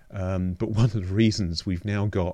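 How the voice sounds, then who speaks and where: A man's dark, mellow voice with a London accent and fairly even intonation, in a very clean recording with a silent background. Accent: southern English (London). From London, England. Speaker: astronomer and museum director. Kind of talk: interview conversation.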